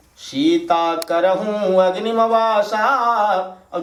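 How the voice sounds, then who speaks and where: A man's voice over noticeable background noise. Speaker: religious storyteller. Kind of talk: devotional katha narration.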